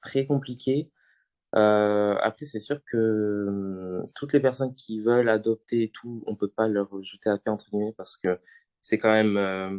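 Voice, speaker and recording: A man speaks in an ordinary speaking voice, fairly low in pitch, at a moderate pace. His intonation stays fairly even against a quiet background. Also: dry, close sound with no echo. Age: 20s. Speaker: student, adoptee guest. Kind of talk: podcast interview.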